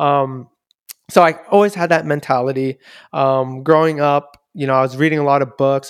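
A man with a Californian accent speaks at a fairly high pitch and a moderate pace. The sound is dry and close with no echo. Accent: Californian American English. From US West Coast, Daly City (Bay Area). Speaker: software engineer. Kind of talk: casual chat.

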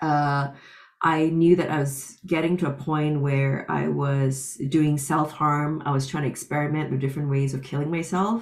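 A woman speaks with a very deep, low pitch and fairly even intonation. Her pace is moderate. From Singapore. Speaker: professor and author. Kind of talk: personal testimony.

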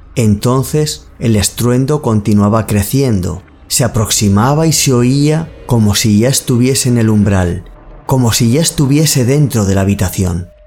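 Music plays behind a man who speaks at a fairly slow pace with a medium pitch and ordinary pitch variation. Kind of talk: ghost story narration. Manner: slow, hushed, suspenseful storytelling; measured, eerie, building tension.

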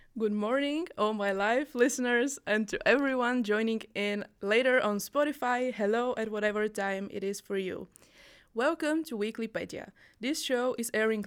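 Her voice is an unremarkable speaking voice, a woman's at a fairly high pitch, moving at a moderate pace with ordinary pitch variation. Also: very clean recording, silent background. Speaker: radio host. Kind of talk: live radio podcast conversation about mental health. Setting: studio.

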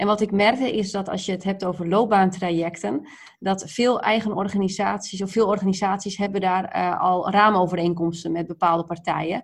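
With an unremarkable speaking voice, a woman talks at medium pitch and a fairly quick pace, using fairly even intonation and hardly any pauses. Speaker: project leader. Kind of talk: interview. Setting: video call.

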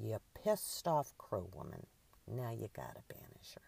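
Put-on character voice, delivered at a moderate pace

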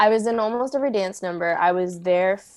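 With an American accent, a woman uses a normal speaking voice at medium pitch, with ordinary pitch variation and a moderate pace over a quiet background. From US, San Diego. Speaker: choreographer and dancer. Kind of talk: casual interview.

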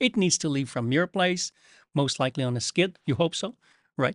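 A man with a Quebec accent talks with very wide pitch swings. The sound is dry and close with no echo, over a quiet background. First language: French. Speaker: coral care company representative. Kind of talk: casual chat. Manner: halting.

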